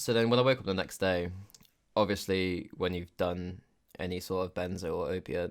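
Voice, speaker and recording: A man speaks with a British accent at a very deep, low pitch. His pace is moderate and his intonation fairly even. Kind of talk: casual storytime talk to camera. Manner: casual, profane.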